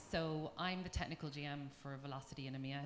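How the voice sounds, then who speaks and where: Speaking in an Irish accent, a woman uses a very deep, low pitch with fairly even intonation. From Ireland. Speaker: tech company engineering manager. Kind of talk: panel talk.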